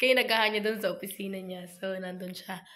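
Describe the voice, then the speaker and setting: Audible room echo surrounds a woman's medium-pitched voice. Her intonation is monotone and flat. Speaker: vlogger. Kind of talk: casual vlog. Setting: at home.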